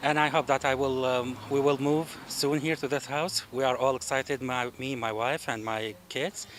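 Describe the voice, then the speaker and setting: A man with an Arabic accent speaks over noticeable background noise. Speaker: future homeowner. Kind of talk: recorded thank-you message. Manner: halting.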